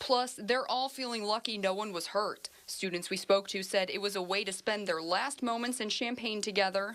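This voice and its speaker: With an American accent and a plain, everyday voice, a woman of medium pitch speaks at a moderate pace with fairly even intonation and hardly any pauses. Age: 20s. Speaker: TV news reporter. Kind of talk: TV news field report.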